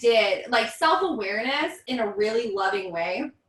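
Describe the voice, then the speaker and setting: Loud and animated, a woman's voice carries through. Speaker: vocal coach. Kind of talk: casual chat.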